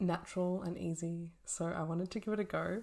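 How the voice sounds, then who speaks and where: A soft-spoken woman's fairly low voice with a dark, mellow tone. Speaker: naturopath and fertility educator. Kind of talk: casual talk to camera.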